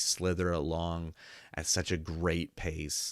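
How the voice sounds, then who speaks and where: Very deep and low-pitched with vocal fry, a man speaks at a very slow pace. The recording is very clean, with a silent background. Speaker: film reviewer. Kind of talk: casual review monologue. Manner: halting, many filler words.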